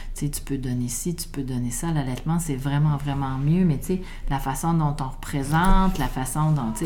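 Speaking at a moderate pace, a woman with a very deep, low pitch keeps a fairly even intonation amid audible room echo and noticeable background noise. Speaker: midwife. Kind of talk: interview conversation.

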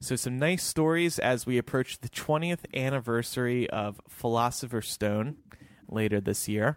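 This man has medium pitch, ordinary pitch variation, a plain, everyday voice, and a dry, close sound with no echo. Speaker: podcast host. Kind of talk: casual chat.

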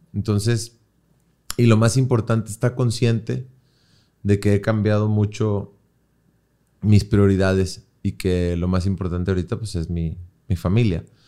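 Over a very clean recording with a silent background, a fairly low-pitched man speaks at a moderate pace in a dark, mellow tone. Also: long, frequent pauses. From Monterrey, Mexico. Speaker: songwriter and musician. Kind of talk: casual chat.

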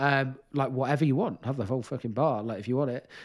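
Fairly quick speech from a man with ordinary pitch variation, on a very clean recording with a silent background. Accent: Welsh. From Wales. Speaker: nutritionist and disordered eating specialist. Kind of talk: interview. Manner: halting, many fillers.

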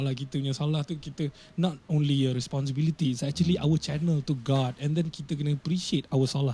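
Speaking at a fairly quick pace, a man with a fairly high pitch has a dark, mellow, somewhat breathy tone and fairly even intonation. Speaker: rapper. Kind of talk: casual chat.

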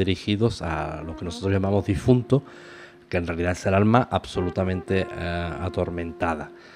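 A man's very deep, low voice at a moderate pace, with ordinary pitch variation and music in the background. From Spain. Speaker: radio host. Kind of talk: casual chat.

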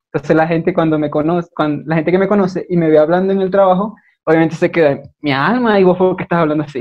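A man's high voice at a very fast pace, with fairly even intonation. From Venezuela, Maracaibo. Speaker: guest, video creator. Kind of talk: casual chat.

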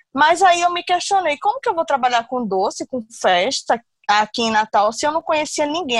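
At a moderate pace, a woman talks with very wide pitch swings, the sound dry and close with no echo. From Brazil, Recife (Pernambuco). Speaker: confectionery business owner. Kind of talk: interview testimony.

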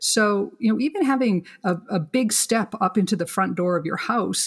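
Medium pitch and ordinary pitch variation from a woman with a somewhat breathy sound. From Canada. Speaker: kitchen designer. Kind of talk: interview, explanatory talk.

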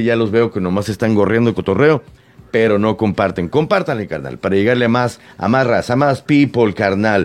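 Animated tone from a man at medium pitch, with ordinary pitch variation. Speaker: radio host. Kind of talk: casual radio chat. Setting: radio studio.

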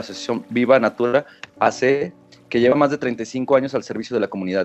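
With a Mexican accent, a man speaks at a medium pitch and a very fast pace. His intonation stays fairly even while music plays in the background. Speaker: podcast host. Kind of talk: reading guest bio. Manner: halting.

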